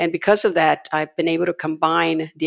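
A woman's very deep, low pitch with vocal fry at a moderate pace, dry and close with no echo, on a very clean recording with a silent background. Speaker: publishing executive and lawyer. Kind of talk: podcast interview. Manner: halting, many fillers.

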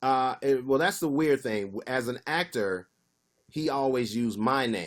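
The recording is very clean with a silent background. A man speaks in an unremarkable speaking voice with a medium pitch and ordinary pitch variation. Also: fairly slow pace. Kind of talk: casual chat.

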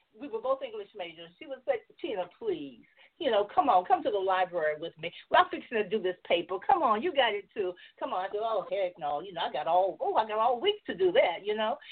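An American accent at a fairly quick pace, with very wide pitch swings and big swings in loudness. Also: woman, fairly high pitch for a woman. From US South, Georgia. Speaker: novelist and filmmaker. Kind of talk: casual chat, interview. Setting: video call, online.

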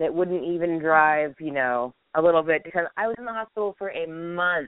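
With lively intonation, a woman with an unremarkable speaking voice talks in a fairly low register. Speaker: guest with chronic illness. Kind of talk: casual chat.

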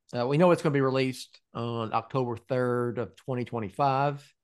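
A man's ordinary speaking voice at medium pitch and moderate pace, over a quiet background. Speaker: podcast host and website founder. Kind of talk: casual chat.

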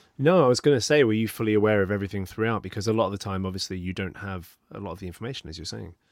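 In a very clean recording with a silent background, a man with an English accent talks very fast and hardly pauses, his fairly low voice showing ordinary pitch variation and big swings in loudness. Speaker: podcast host. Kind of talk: scripted outro; interview.

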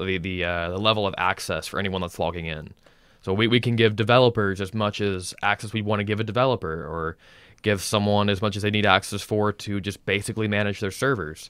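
An ordinary speaking voice from a man, fairly low in pitch, with fairly even intonation and a fairly quick pace, on a very clean recording with a silent background. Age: 20s. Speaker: cloud engineer. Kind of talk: casual chat.

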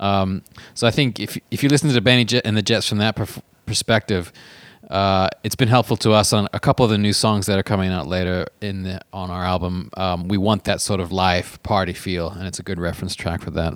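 In a very clean recording with a silent background and a dry, close sound with no echo, a man speaks in an unremarkable speaking voice with ordinary pitch variation. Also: fairly low pitch for a man, fairly quick pace. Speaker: podcast host and touring musician. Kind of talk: casual chat.

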